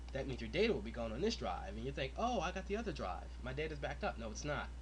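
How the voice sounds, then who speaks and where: A man talks very fast, with audible room echo and noticeable background noise. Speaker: tech tutorial maker. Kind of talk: tutorial. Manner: casual with many fillers.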